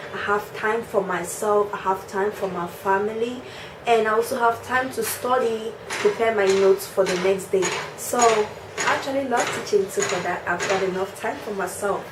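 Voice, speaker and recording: A woman speaks with audible room echo. Noticeable background noise can be heard too. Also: medium pitch for a woman, fairly even intonation, moderate pace. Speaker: teacher and vlogger. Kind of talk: casual vlog talk.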